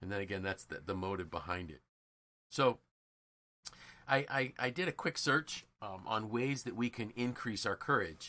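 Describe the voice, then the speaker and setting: With a bright, sharp tone and lively intonation, the speaker moves at a moderate pace with long, frequent pauses, on a very clean recording with a silent background. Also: man, fairly low pitch for a man. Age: 60s. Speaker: podcast co-host and leadership coach. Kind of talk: casual podcast conversation. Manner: halting, many repeated words.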